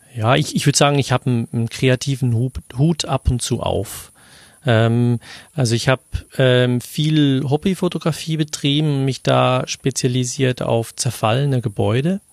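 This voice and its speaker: At a moderate pace, a man talks in an unremarkable speaking voice with medium pitch and ordinary pitch variation, recorded dry and close with no echo. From Switzerland. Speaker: podcaster. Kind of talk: casual chat.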